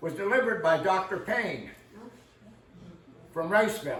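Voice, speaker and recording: A man's loud, high-pitched voice with an American accent, ordinary pitch variation and a moderate pace, plus audible room echo and noticeable background noise. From northwestern Pennsylvania. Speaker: local historian. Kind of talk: community history talk. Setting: room with live audience and microphone. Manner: casual, folksy.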